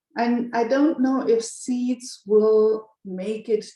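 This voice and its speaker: This woman speaks with a German accent. Her tone is dark and mellow. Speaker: banker and community member. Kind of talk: group video call discussion. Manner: halting, with repeated words.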